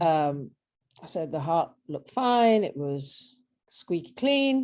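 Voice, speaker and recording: A woman with an English accent has a very deep, low pitch. Her tone is dark and mellow. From southern England, Brighton. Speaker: patient, former squash coach. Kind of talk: interview. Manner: halting.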